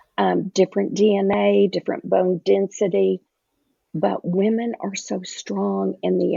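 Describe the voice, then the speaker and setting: A woman with a Southern US accent at a fairly slow pace. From US South. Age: 60s. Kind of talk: podcast interview.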